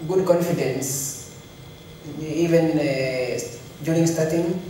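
In a room with strong echo and light background noise, a man speaks in a monotone, flat intonation. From Kenya. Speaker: elite marathon runner. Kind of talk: press conference interview. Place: hall.

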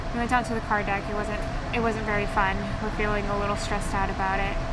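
A woman's voice against loud background noise. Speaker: travel vlogger. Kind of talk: casual vlog chat. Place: boat. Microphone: phone near.

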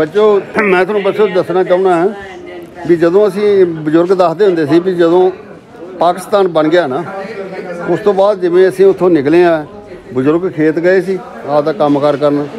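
A man with a high-pitched voice speaks with fairly even intonation while crowd noise carries on in the background. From Punjab, India (Sikh family whose parents came from a village now in Pakistan). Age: 70s. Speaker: elderly Sikh visitor returning to his parents' ancestral village. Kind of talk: casual talk to camera, reminiscing about family history. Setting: outdoors in a village. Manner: emotional, nostalgic. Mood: moved, grateful, nostalgic. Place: street.

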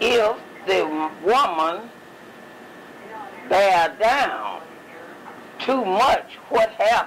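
In a Southern US accent, the speaker goes at a very slow pace with long, frequent pauses and ordinary pitch variation, over noticeable background noise. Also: woman, fairly high pitch for a woman. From Mississippi. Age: 80s+. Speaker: retired midwife. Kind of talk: interview answer. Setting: home recording.

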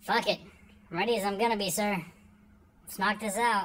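In a very clean recording with a silent background, a woman does a cartoonish character voice at a medium pitch and a fairly quick pace. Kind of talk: comedic skit monologue. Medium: puppet show. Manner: crude, casual. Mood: resigned, gruff.

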